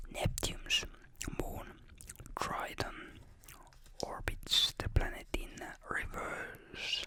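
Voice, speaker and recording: Someone whispers very slowly with long, frequent pauses while noticeable background noise runs underneath. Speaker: ASMR creator. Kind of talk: ASMR space facts ramble. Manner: whispered.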